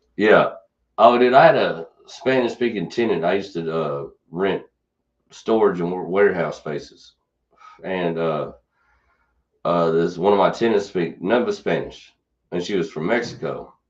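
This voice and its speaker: In a Kentucky accent, a man with a very deep, low voice talks at a moderate pace with ordinary pitch variation and long, frequent pauses. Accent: Kentucky twang. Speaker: podcast host. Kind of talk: casual chat. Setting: studio.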